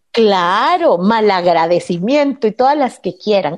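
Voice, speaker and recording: With a normal speaking voice, a woman talks at a fairly high pitch and with lively intonation. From Guatemala. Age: 40s. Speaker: radio host. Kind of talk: personal testimony.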